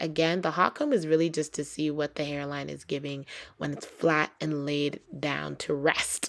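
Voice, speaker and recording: With an animated tone, a woman speaks in a very deep, low pitch. She keeps a moderate pace. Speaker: beauty YouTuber. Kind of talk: tutorial.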